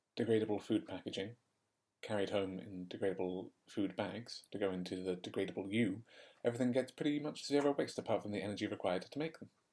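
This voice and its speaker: Talking at a very fast pace in an English accent, a man has a dark, mellow tone, a fairly low pitch and ordinary pitch variation. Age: 20s. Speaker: podcast host. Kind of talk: casual chat.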